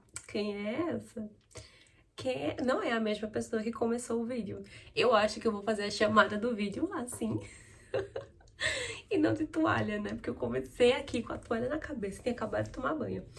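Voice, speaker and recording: At a moderate pace, the speech is broken by long, frequent pauses over noticeable background noise. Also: woman. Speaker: newly qualified lawyer and vlogger. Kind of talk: get-ready-with-me vlog chat. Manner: casual, chatty.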